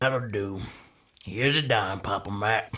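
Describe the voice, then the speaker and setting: In a put-on character voice, a man talks at a moderate pace with a raspy, fairly low pitch. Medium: audio drama. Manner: curt, prim.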